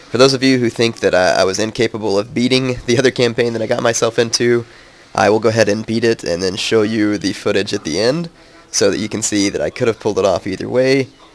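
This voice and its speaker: Noticeable background noise sits under speech delivered at a very fast pace with fairly even intonation. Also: man, medium pitch for a man. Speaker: gaming commentator. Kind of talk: gameplay commentary. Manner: casual, hesitant.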